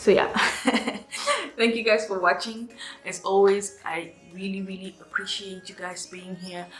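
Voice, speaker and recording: At a fairly slow pace, a woman with a medium pitch speaks in a monotone, flat intonation with big swings in loudness and long, frequent pauses while music plays in the background. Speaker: beauty vlogger. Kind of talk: tutorial. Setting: at home. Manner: casual, hesitant fillers.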